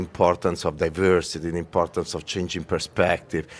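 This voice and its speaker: The voice belongs to a man. It sits at a very deep, low pitch. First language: Italian. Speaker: corporate design executive. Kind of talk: podcast interview. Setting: press center at festival.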